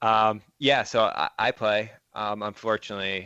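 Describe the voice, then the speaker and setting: Recorded dry and close with no echo, a man with a Michigan accent speaks against a quiet background. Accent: Midwestern American (Michigan). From southeast Michigan, Monroe. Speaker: former junior hockey player. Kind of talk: casual interview.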